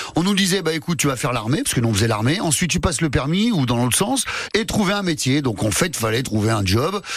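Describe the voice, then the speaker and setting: A man speaks very fast with very wide pitch swings. Background noise is noticeable. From France, Lyon. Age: 50s. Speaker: comedian. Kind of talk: casual chat.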